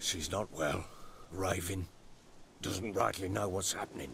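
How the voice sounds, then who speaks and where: Over clear background noise, a man puts on a raspy character voice, very deep and low, at a moderate pace with fairly even intonation. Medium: video game. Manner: gruff, clipped.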